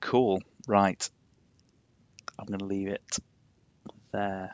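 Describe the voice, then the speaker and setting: A man with a Yorkshire accent, fairly low pitch, monotone, flat intonation, and a very slow pace. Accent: posh Yorkshire twang, moderate. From Yorkshire, England. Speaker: game streamer. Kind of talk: casual live-stream chat.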